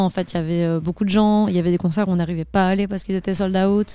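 A woman talks very fast in a dark, mellow tone. Her medium-pitched voice stays monotone and flat. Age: 20s. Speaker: filmmaker. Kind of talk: interview. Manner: hesitant, many fillers.

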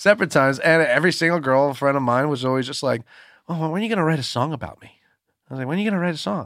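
At a very fast pace, a man speaks with a fairly high pitch, ordinary pitch variation and big swings in loudness, in a very clean recording with a silent background. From upstate New York. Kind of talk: casual chat.

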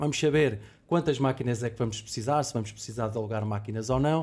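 A man talks at a very fast pace in a Lisbon accent. His voice is somewhat breathy, with ordinary pitch variation. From Lisbon, Portugal. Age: 40s. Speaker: logistics warehouse director. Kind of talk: corporate podcast discussion.

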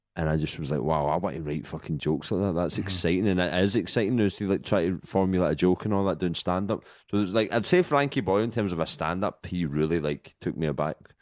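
A man with a Glaswegian accent and a very deep, low voice talks at a very fast pace with hardly any pauses and ordinary pitch variation, in a very clean recording with a silent background. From Scotland, Glasgow. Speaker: comedian. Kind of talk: casual chat.

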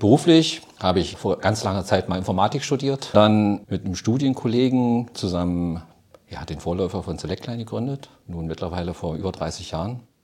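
A man talks in a normal speaking voice at a fairly low pitch. His intonation is lively and his pace moderate. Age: 50s. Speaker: retired software company founder. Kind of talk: interview.

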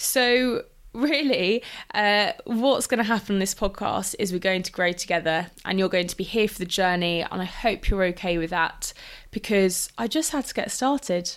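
A woman with a medium pitch and lively intonation speaks at a moderate pace in a very clean recording with a silent background. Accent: London. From London. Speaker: nutritionist, podcast host. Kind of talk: solo podcast monologue. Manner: animated.

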